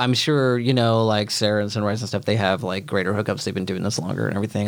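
A man with an American accent speaks in a normal speaking voice at a fairly low pitch, with ordinary pitch variation. The recording is very clean, with a silent background. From Oklahoma. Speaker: filmmaker and film programmer. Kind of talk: casual interview. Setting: studio with headphones.

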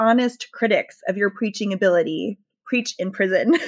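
A woman with an American accent, a normal speaking voice, fairly high pitch and ordinary pitch variation, on a very clean recording with a silent background. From US South, rural Southern Maryland. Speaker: pastor and author. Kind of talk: interview.

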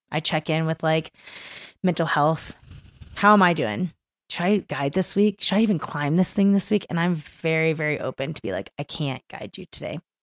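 Recorded dry and close with no echo against a very clean, silent background, a woman with an American accent speaks at a moderate pace in a fairly low voice with ordinary pitch variation. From East Texas, Kingwood. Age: 30s. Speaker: climbing guide. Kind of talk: casual interview. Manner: animated, laughing often.

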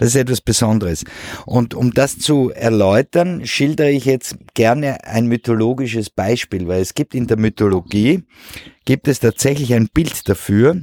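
Dry and close with no echo, the sound carries a man's medium-pitched voice with a dark, mellow tone. He speaks at a moderate pace with ordinary pitch variation. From Switzerland. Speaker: painter. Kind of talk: interview. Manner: halting.

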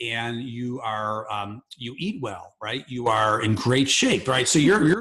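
Bright and sharp in tone, a man's medium-pitched voice moves at a fairly slow pace with lively intonation.

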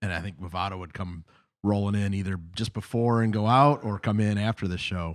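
The recording is very clean with a silent background. A man in a normal speaking voice talks at a fairly quick pace with fairly low pitch and fairly even intonation. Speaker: podcast host (referee). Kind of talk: casual chat, podcast interview.

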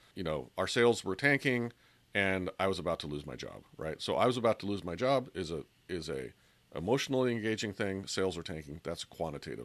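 This man has a very deep, low voice with vocal fry and very wide pitch swings, talking at a fairly quick pace. The recording is very clean, with a silent background. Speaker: podcast host. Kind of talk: solo podcast talk on persuasion tips.

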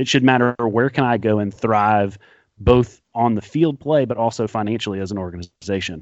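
In a normal speaking voice, a man of medium pitch speaks at a moderate pace with ordinary pitch variation. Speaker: guest soccer podcaster. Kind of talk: casual banter, sports talk podcast.

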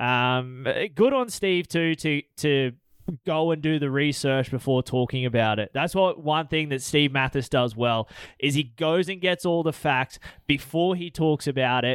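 Pitched fairly high, a man talks in a normal speaking voice with ordinary pitch variation. His delivery is fairly slow. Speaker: co-host. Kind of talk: casual chat. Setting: studio.

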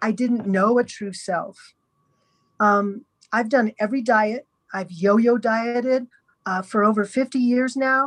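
A woman's fairly high voice at a fairly slow pace, with long, frequent pauses and a dry, close sound with no echo. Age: 60s. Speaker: podcast guest sharing eating disorder recovery story. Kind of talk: testimony. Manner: halting.

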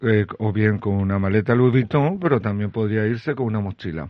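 A man speaks in an ordinary speaking voice. His pitch is medium, with ordinary pitch variation. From Chile. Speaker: restaurant founder and Thailand expert. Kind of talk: radio interview.

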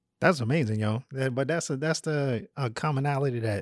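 On a very clean recording with a silent background, a man speaks at a medium pitch. His pace is moderate, with ordinary pitch variation. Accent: American. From US South (North Carolina, Virginia). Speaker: podcast host and printmaker. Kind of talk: casual interview chat. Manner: animated.

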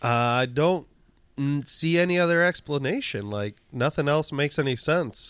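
In a very clean recording with a silent background, a man with a normal speaking voice talks at a fairly high pitch and a moderate pace, with ordinary pitch variation. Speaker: podcast co-host. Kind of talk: casual chat.

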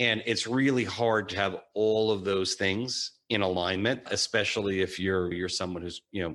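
At a moderate pace, a man with a very deep, low pitch talks with fairly even intonation over a quiet background. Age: 40s. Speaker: financial advisor. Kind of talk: interview.

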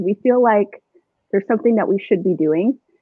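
A woman with a Southwestern US accent talks at a fairly quick pace. Her pitch is medium, with ordinary pitch variation. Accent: General American (Southwest). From Arizona, Chandler/Gilbert. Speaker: real estate agent. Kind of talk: casual chat.

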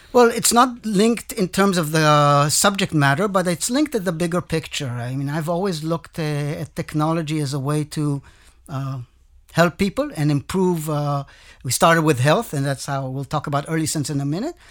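A man speaks at a fairly high pitch. The recording is very clean with a silent background. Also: ordinary pitch variation, moderate pace. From Israel. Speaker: tech executive. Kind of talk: interview.

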